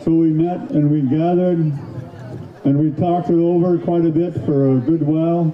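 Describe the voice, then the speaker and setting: Over noticeable background noise, a man with a fairly high voice speaks at a fairly slow pace with ordinary pitch variation. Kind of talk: public speech at powwow. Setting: outdoors, PA system.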